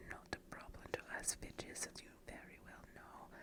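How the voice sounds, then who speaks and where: Someone whispers over noticeable background noise. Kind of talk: read-aloud story for relaxation. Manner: whispered.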